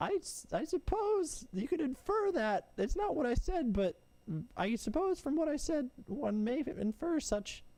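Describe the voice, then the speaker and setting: In a put-on character voice, a man pitches his speech extremely high and keeps a moderate pace. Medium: actual play. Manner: hesitant, stammering.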